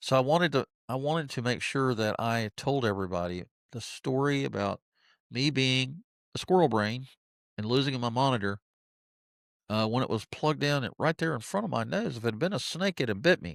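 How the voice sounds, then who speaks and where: Lively in intonation, a man talks at a fairly quick pace and medium pitch. The sound is dry and close with no echo, very clean with a silent background. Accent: American. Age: 60s. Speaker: podcaster and YouTuber. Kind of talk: casual talk to camera. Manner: light-hearted, humorous.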